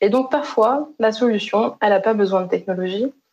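A woman's dark, mellow voice. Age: 20s. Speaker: health innovation consultant; keynote speaker. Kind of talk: conference keynote talk. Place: home room. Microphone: webcam.

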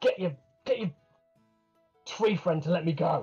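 A man puts on a character voice, high in pitch. He talks at a moderate pace with faint music in the background. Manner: defiant, resentful.

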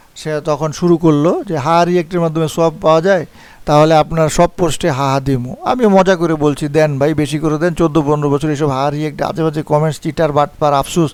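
Fairly even intonation from a man pitched fairly high. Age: 50s. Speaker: forex trading teacher. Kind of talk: video monologue, response to criticism.

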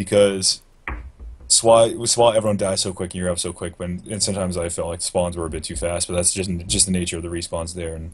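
A man talks at a very fast pace with a very deep, low pitch. His voice is somewhat breathy, with fairly even intonation. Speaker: gaming podcast co-host. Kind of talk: casual chat. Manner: mellow. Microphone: video call.

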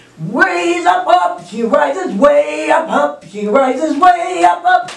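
Amid light background noise and audible room echo, a woman speaks at a high pitch. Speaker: children's storytime host. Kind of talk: children's storytime with songs and puppet dialogue. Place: home room. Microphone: camera far.

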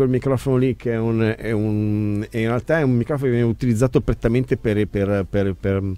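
This man has a dark, mellow tone and a medium pitch, speaking at a fairly quick pace with fairly even intonation.

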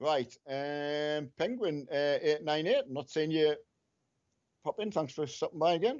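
With a Scottish accent, a man speaks at a fairly high pitch and a fairly slow pace, using ordinary pitch variation. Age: 50s. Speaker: gamer's father. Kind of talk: casual chat.

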